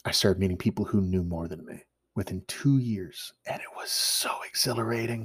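In a Canadian accent, the somewhat breathy speaker moves at a moderate pace with ordinary pitch variation and big swings in loudness. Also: man, fairly low pitch for a man. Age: 30s. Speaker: bushcraft instructor and podcast host. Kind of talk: solo podcast monologue.

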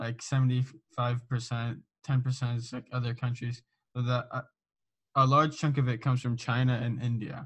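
Leaving long, frequent pauses, a man with an American accent speaks at a moderate pace in a monotone, flat intonation, somewhat breathy. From Southern California. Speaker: podcast host. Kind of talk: casual interview.

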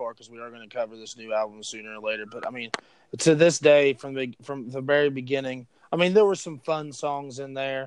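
A man with an American accent has an unremarkable speaking voice at a medium pitch. He keeps a moderate pace with ordinary pitch variation. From West Virginia. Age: 20s. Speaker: podcast host. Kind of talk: casual chat. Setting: phone call.

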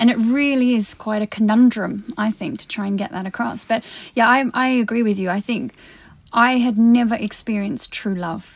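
A woman with a fairly high pitch sounds somewhat breathy. She speaks at a moderate pace with fairly even intonation. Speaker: podcast host. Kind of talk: casual chat. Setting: studio.

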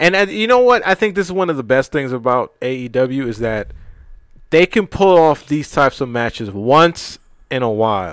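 With an American accent, a man at medium pitch uses very wide pitch swings at a moderate pace in a very clean recording with a silent background. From New York, Brooklyn. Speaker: podcast host. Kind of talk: casual chat.

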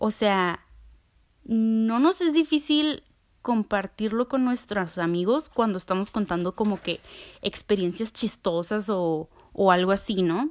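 Speaking very slowly with lively intonation, a woman with a Mexican accent and medium pitch is heard on a very clean recording with a silent background. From Mexico. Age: 20s. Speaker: podcast host. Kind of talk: casual monologue; guided visualization.

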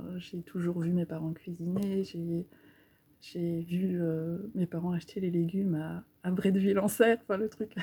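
A woman speaks at a fairly slow pace with a medium pitch. Her voice has a dark, mellow tone, is somewhat breathy, and has fairly even intonation. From Normandy, Cherbourg. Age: 30s. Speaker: local food network founder. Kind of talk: casual interview.

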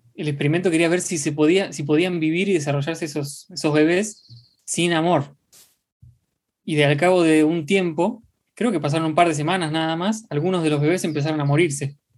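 The speech has a Rioplatense accent. It moves at a moderate pace. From Argentina. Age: 20s. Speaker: podcast co-host. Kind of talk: casual chat.

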